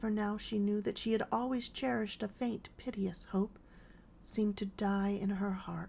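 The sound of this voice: The unforced reading voice keeps its intonation fairly level.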